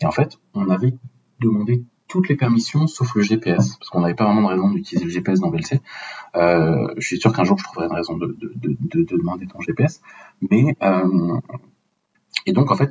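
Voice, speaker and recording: This man moves at a moderate pace while his pitch swings very widely. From France, Paris. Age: 30s. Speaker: open source software project lead. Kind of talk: technical podcast interview.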